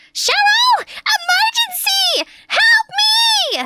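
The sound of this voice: A put-on character voice, shrill and extremely high in pitch. It moves at a very slow pace.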